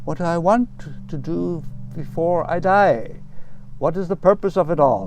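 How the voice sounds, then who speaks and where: A man's high-pitched voice at a moderate pace, with ordinary pitch variation, long and frequent pauses, and noticeable background noise. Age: 70s. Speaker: Buddhist monk and sculpture park creator. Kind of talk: personal narration.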